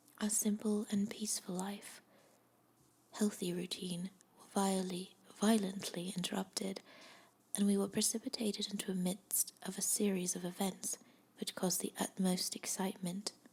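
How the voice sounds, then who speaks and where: The speaker is soft-spoken. The pace is moderate. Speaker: amateur ASMR reader, first time doing ASMR. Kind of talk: bedtime story reading, ASMR audiobook. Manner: soft-spoken, growing louder as the reading goes on.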